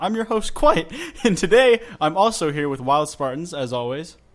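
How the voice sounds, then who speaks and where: The speaker talks at a fairly quick pace with lively intonation. Noticeable background noise can be heard. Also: man. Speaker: podcast host. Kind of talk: casual chat.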